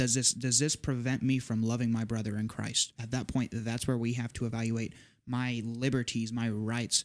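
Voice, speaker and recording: A man with an American accent, medium pitch, moderate pace and monotone, flat intonation. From Southeast Texas. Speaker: podcast guest. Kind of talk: casual discussion.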